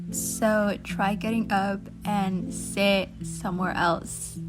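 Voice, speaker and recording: Music plays in the background while a woman talks. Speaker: digital artist. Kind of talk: casual talk over drawing.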